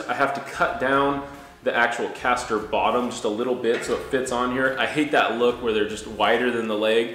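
The voice moves at a fairly quick pace with audible room echo. Light background noise is present. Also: man. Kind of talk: tutorial. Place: garage.

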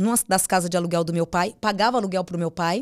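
In a normal speaking voice, a woman talks at a fairly quick pace with medium pitch and fairly even intonation. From São Paulo state, Brazil (Mogi das Cruzes). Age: 40s. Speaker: psychic medium. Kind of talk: casual interview chat.

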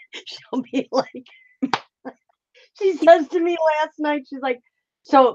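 Delivered at a very slow pace with long, frequent pauses, the speech has ordinary pitch variation, big swings in loudness and a dry, close sound with no echo. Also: woman, high pitch for a woman. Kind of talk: casual chat.

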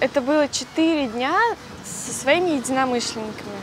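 Amid noticeable background noise, in a dry sound with no echo, a woman speaks at a high pitch and moderate pace with ordinary pitch variation. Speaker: interview guest. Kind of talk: interview answer. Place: cafe. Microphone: lapel.

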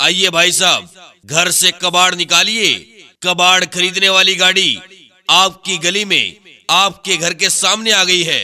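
This man's raised, projected voice sits high in pitch, with fairly even intonation, very even loudness, and long, frequent pauses. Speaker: announcer. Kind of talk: street hawker loudspeaker announcement.

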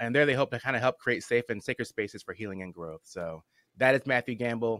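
A bright, sharp tone at a very fast pace, with a quiet background and a dry sound with no echo. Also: man. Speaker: podcast host. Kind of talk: podcast introduction and chat. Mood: warm, enthusiastic. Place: home room.

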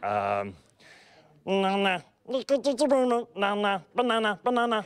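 A man puts on a high-pitched character voice and speaks very slowly. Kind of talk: character impression. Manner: playful, silly.

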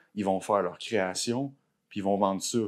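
In a Quebec accent, a man talks at a fairly quick pace. His voice is fairly low, with ordinary pitch variation. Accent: Québécois French. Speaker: tattoo artist; podcast guest. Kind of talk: casual chat. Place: home room. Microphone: lapel.

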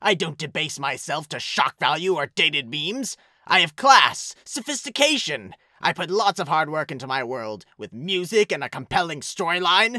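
Someone puts on a character voice with very wide pitch swings. The pace is moderate. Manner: smug, sarcastic.

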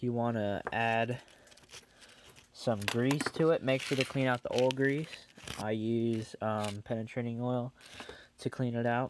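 A man talks at a fairly slow pace in a monotone, flat intonation, with long, frequent pauses, a dry sound with no echo, and noticeable background noise. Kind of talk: tutorial. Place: workshop. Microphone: phone near.

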